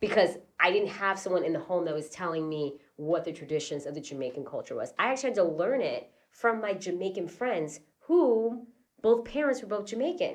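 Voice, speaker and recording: A woman with an American accent talks at a fairly quick pace. Her pitch swings very widely. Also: medium pitch for a woman. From Queens, New York. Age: 30s. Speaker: podcast co-host. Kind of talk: casual chat.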